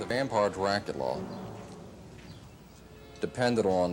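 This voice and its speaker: A man with a very deep, low voice and an American accent, ordinary pitch variation, a fairly slow pace, and music in the background. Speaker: horror fan society founder. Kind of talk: interview answer.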